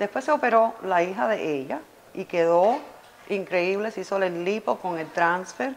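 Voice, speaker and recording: Light background noise sits behind a woman's voice. She speaks at a fairly slow pace with lively intonation. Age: 50s. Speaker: cosmetic surgery patient. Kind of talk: testimonial. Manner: animated. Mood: enthusiastic, grateful. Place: office.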